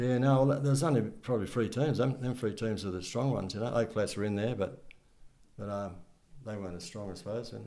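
Speaking at a fairly quick pace with an Australian accent, this voice has a dark, mellow tone, ordinary pitch variation and audible room echo. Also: man, medium pitch for a man. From Wollongong area, New South Wales, Australia. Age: 70s. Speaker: retired amateur football coach and club volunteer. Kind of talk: interview, casual reminiscing. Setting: at home. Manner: halting, repeats words.

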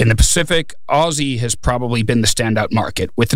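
Noticeable background noise runs under a man who talks fairly quickly at a medium pitch. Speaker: freight market analyst. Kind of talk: casual chat.

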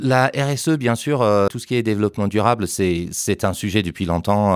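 Lively intonation and a moderate pace in an English accent, on a very clean recording with a silent background. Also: man. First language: English (speaking French). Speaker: trade show director. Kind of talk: interview. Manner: halting, many repetitions and hesitations.

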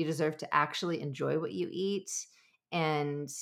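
A speaker with a Californian accent keeps fairly even intonation in a very clean recording with a silent background. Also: woman. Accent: Californian American English. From US, Southern California. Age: 40s. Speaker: nutrition coach and podcast host. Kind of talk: casual solo monologue.

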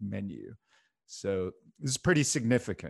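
Lively intonation from a man at a medium pitch, with an unremarkable speaking voice and a moderate pace. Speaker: podcast co-host. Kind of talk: casual chat.

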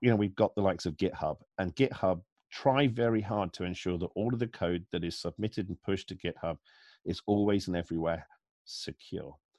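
A man talks at a fairly quick pace with lively intonation, in a plain, everyday voice. The sound is dry and close with no echo, over a quiet background. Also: fairly low pitch for a man. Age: 40s. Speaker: security analyst. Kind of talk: interview.

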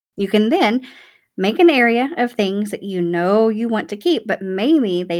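A woman speaks with a Southern US accent at a medium pitch. Her pitch swings very widely, and the recording is very clean with a silent background. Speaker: declutter podcast host. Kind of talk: casual solo podcast talk. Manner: animated. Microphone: new podcast microphone.

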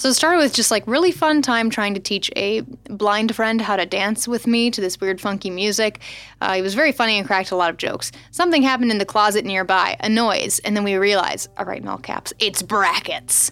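With an American accent, a woman speaks at a fairly quick pace and fairly high pitch, using lively intonation in an unremarkable speaking voice. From US Midwest. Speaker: podcast co-host. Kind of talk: casual chat. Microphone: very close to the mic.

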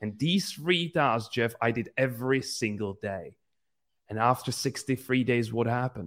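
Heard in a very clean recording against a silent background, the voice moves at a moderate pace with ordinary pitch variation. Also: man. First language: not English. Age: 20s. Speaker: entrepreneur and business coach. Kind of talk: interview.

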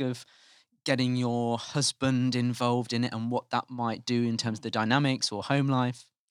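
In an unremarkable speaking voice of medium pitch, a man talks at a moderate pace on a very clean recording with a silent background and a dry, close sound with no echo. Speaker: interviewer. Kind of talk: casual interview.

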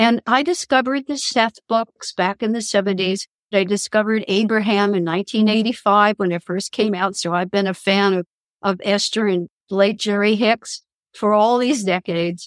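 Recorded with a dry, close sound and no echo, a woman with a plain, everyday voice speaks at medium pitch and moderate pace with ordinary pitch variation. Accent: American. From Kansas. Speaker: spiritual counselor and author. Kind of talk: interview.

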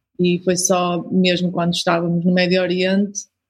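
Somewhat breathy, a woman speaks with a European Portuguese accent. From Portugal. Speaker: missionary. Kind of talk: interview.

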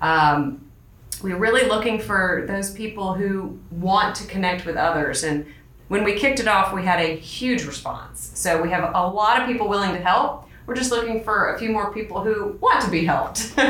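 A woman talks with medium pitch and ordinary pitch variation, keeping a moderate pace while noticeable background noise carries on. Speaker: school advancement officer, podcast host. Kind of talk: casual interview chat.

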